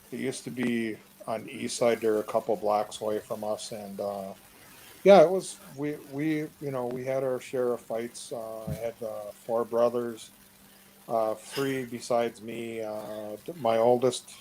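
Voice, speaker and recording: In an Upper Midwest US accent, a man speaks at a fairly slow pace. His pitch is medium, with ordinary variation. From Wisconsin, Two Rivers. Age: 60s. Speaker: interviewee. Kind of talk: casual chat. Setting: online live chat.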